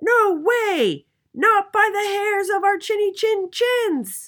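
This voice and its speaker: A put-on character voice speaks at an extremely high pitch and a very slow pace. The recording is very clean, with a silent background. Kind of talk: bedtime story. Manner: polite, then defiant.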